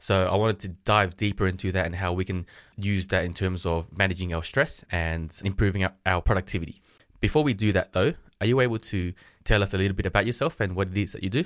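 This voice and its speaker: A man speaks very fast in a very deep, low voice. His pitch varies in an ordinary way. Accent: Australian. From Australia. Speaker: podcast host. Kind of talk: interview. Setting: remote call.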